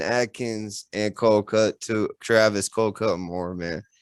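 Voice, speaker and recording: Here is a man with an unremarkable speaking voice, medium in pitch and fairly slow in pace. The recording is very clean, the background silent. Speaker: podcast host. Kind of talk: casual interview chat.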